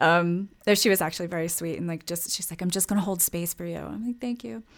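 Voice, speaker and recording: A woman's plain, everyday voice, fairly low in pitch, at a fairly quick pace on a very clean recording with a silent background. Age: 40s. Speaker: entrepreneur. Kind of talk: casual chat.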